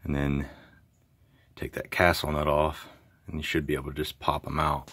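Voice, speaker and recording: Quiet and monotone, a man with a very deep, low pitch and vocal fry speaks at a moderate pace. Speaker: DIY car repair hobbyist. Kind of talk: tutorial. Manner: casual.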